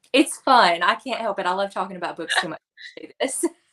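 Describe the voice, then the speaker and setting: A woman speaks in a strong Tennessee accent. The recording is very clean, with a silent background. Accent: Southern US (Tennessee), strong. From West Tennessee, near Jackson. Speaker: children's librarian, book reviewer. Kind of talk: casual interview chat.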